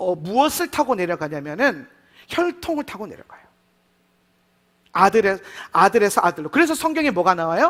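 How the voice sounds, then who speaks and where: A man is talking. The swings in his pitch are very wide. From Gyeongsang region, South Korea. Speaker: pastor. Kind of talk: sermon.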